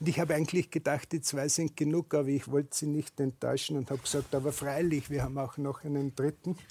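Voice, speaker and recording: In an Austrian accent, a somewhat breathy voice speaks at a moderate pace with fairly even intonation, in a dry, close sound with no echo and a very clean recording, silent background. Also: man. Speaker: shoe manufacturer. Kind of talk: panel discussion.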